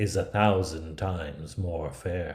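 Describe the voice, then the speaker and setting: A man speaks in a very deep, low voice that is somewhat breathy, with ordinary pitch variation. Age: 50s. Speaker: theatre artist. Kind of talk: read fairy tale.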